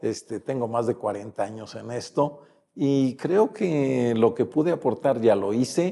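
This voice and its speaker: This man has a dark, mellow tone at a medium pitch. His intonation is lively. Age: 70s. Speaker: retired politician. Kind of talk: interview. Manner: hesitant with fillers.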